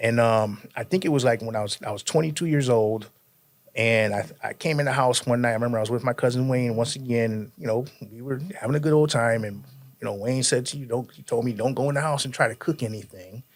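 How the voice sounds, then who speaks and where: The pace is very fast. The speaker has an American accent. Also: man, medium pitch for a man, ordinary pitch variation. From Connecticut, US (New Britain). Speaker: podcast guest telling life story. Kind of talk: casual interview, life testimony.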